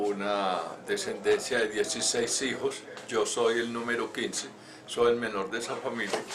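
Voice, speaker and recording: The speaker has a Colombian paisa accent and a monotone, flat intonation at a fairly slow pace. There is audible room echo and noticeable background noise. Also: man. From Colombia, Antioquia (Medellín; born Pácora, Caldas). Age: 70s. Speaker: retired engineer and former scout. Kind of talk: life story interview. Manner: halting, with frequent fillers and repetitions.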